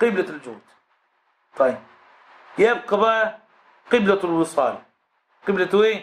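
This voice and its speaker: The speaker has an Egyptian accent and an animated tone with ordinary pitch variation. The pace is fairly slow, with long, frequent pauses. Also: man, high pitch for a man. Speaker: Islamic scholar teaching a text; religious teacher. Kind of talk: religious lesson. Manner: animated, rhetorical questions. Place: classroom. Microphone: studio mic.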